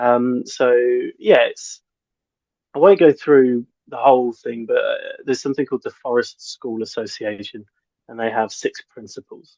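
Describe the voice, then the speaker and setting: A man with a British accent talks with long, frequent pauses and big swings in loudness, recorded with a dry, close sound and no echo. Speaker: forest school teacher. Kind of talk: interview. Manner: fast; hesitant, many ums.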